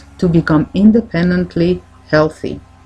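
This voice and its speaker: A woman talks at a fairly low pitch with vocal fry. Her pace is fairly slow. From French-speaking Switzerland. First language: French. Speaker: naturopathic doctor and coach. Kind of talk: self-help talk.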